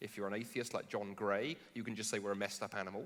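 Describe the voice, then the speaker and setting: British accent at a very fast pace. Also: man. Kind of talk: public dialogue on stage. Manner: animated, with false starts.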